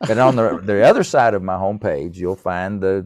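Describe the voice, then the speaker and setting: With a Tennessee accent, a man speaks in a dark, mellow tone with ordinary pitch variation against a quiet background. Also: dry, close sound with no echo. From East Tennessee. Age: 70s. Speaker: musician and author. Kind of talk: podcast interview.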